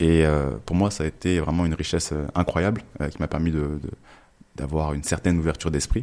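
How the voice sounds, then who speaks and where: A man with a very deep, low pitch and dark, mellow tone, fairly even intonation, at a fairly quick pace. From France (born in Togo, raised in France from age 3). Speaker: entrepreneur. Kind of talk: podcast interview. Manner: hesitant, many fillers and repetitions.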